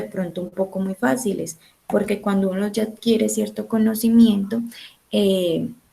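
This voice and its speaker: Soft-spoken woman at a fairly slow pace. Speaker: teacher. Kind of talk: online class lecture.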